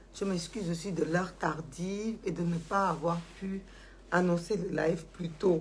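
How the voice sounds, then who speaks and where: A woman talks at a fairly slow pace in a fairly low, somewhat breathy voice. Her intonation stays fairly even, and the room echo is audible. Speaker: social media commentator. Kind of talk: live stream monologue. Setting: Facebook live video. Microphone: poor sound, at max volume.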